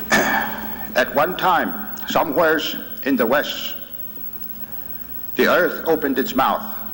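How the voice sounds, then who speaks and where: A man talks very slowly in a fairly high pitch with lively intonation and very even loudness. There are long, frequent pauses, audible room echo and noticeable background noise. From Oklahoma, Okemah area (Creek Nation). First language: Muskogee Creek. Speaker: medicine man, invited speaker. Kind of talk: lecture to students. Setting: university auditorium with audience.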